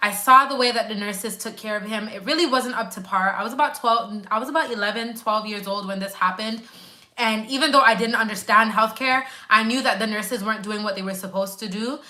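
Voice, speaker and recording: With a Grenadian accent, a woman speaks at a very fast pace in a fairly high, bright, sharp voice, with fairly even intonation, big swings in loudness and audible room echo. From Canada, Grenadian family. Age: 20s. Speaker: nurse. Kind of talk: live stream chat. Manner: casual, conversational.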